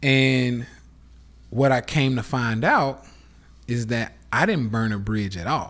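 A man with an American accent speaks at a very slow pace and medium pitch, leaving long, frequent pauses. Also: ordinary pitch variation. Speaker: podcast host, live streamer. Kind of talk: casual rant monologue. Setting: Instagram live stream. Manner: animated.

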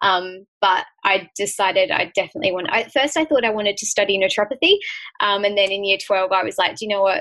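Speaking very fast with an Australian accent, a woman has a medium-pitched, bright and sharp voice with ordinary pitch variation. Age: 20s. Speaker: author and health advocate. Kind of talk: casual chat.

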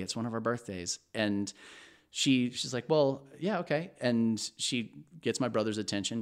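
Speaking at a moderate pace, a man has an ordinary speaking voice with medium pitch and ordinary pitch variation. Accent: American. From Texas. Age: 30s. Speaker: podcast guest. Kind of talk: casual chat.

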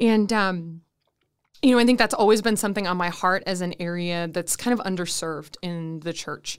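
With an American accent, a woman speaks at a moderate pace and medium pitch with ordinary pitch variation, a plain, everyday voice on a very clean recording with a silent background. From Minnesota, Saint Paul. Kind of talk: interview. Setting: studio.

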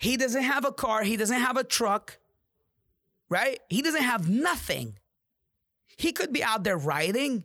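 A man with an extremely high pitch and a raised, projected voice speaks in an animated tone with lively intonation, at a fairly slow pace with long, frequent pauses. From Jordan (Amman). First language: Arabic. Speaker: podcast host and real estate agent. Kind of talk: motivational monologue.

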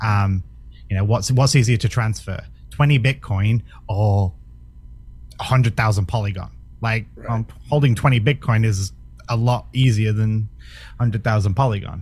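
With long, frequent pauses, a man at fairly low pitch speaks at a moderate pace, his voice somewhat breathy and his pitch variation ordinary. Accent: British. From Britain. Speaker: crypto project representative. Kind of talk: casual interview.

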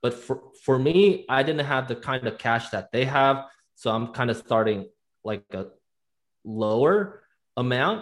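A man at a medium pitch with lively intonation, a fairly slow pace and long, frequent pauses, on a very clean recording with a silent background. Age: 20s. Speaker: real estate agent and investor. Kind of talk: casual interview.

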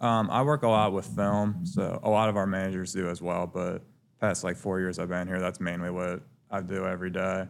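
A Midwestern American accent at a moderate pace with fairly even intonation, on a very clean recording with a silent background. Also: man. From Cincinnati, Ohio (west side). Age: 20s. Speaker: college basketball team manager. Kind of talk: casual chat.

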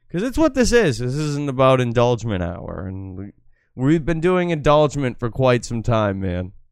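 An unremarkable speaking voice from a man with an American accent, medium pitch, lively intonation and a moderate pace, in a very clean recording with a silent background. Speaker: livestream host. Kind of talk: casual banter on a livestream.

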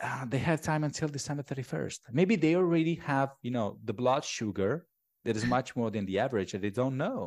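A man speaks with an Italian accent at a fairly quick pace and with lively intonation. The recording is very clean, with a silent background. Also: medium pitch for a man. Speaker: tax accountant. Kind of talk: interview.

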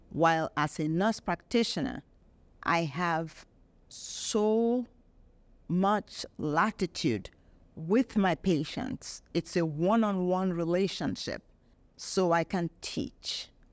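A woman's fairly low voice at a very slow pace, dry and close with no echo, in a very clean recording over a silent background. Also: ordinary pitch variation. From Nigeria. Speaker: nurse practitioner. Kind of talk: personal testimony.

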